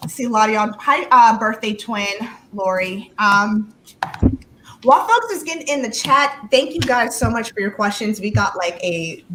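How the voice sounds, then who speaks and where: Over noticeable background noise, a woman with an American accent speaks at a moderate pace in a fairly high pitch, with ordinary pitch variation. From California. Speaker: live stream host. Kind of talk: casual chat. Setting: live stream.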